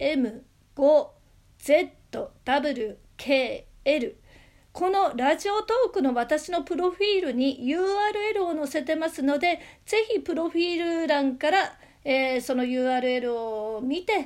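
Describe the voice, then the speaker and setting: Against a silent background in a very clean recording, a woman speaks very slowly in a high voice, with lively intonation and long, frequent pauses. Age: 50s. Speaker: amateur radio DJ and singer. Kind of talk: solo talk show.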